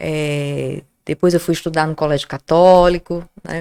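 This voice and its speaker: A woman's very deep, low voice at a fairly slow pace, monotone and flat in intonation. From Natal, Rio Grande do Norte, Brazil. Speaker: journalist, professor and Wiccan witch. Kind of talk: casual interview chat.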